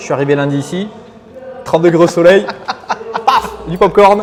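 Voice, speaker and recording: Amid noticeable background noise, a man at high pitch speaks at a moderate pace with ordinary pitch variation and long, frequent pauses. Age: 30s. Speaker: gym member, company director. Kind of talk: casual interview testimony. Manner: casual, hesitant with fillers.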